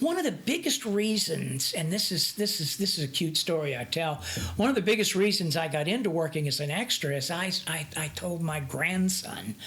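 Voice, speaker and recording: Lively intonation runs at a moderate pace with hardly any pauses, over noticeable background noise. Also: woman, fairly low pitch for a woman. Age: 60s. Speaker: actor. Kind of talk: interview. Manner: halting.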